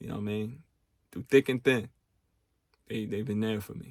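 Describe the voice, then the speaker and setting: Medium-pitched male speech, its intonation fairly even. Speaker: podcast host. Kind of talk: casual podcast monologue. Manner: casual, street slang.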